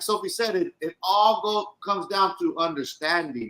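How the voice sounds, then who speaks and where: A man with a raised, projected voice and a bright, sharp tone speaks at a moderate pace in a high pitch with lively intonation. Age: 40s. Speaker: podcast co-host, formerly incarcerated. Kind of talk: casual chat.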